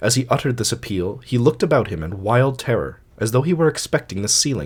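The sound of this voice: Lively intonation runs through the clip. It comes from an unforced reading voice.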